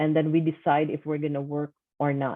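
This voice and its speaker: A woman with a Filipino accent speaks at a very deep, low pitch. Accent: Filipino accent, non-native English. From Philippines. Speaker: online seller and course coach. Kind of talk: personal testimony.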